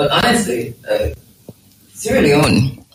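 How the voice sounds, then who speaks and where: This is a man speaking. He talks with a Jamaican accent. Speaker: show host. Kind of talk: live interview on location.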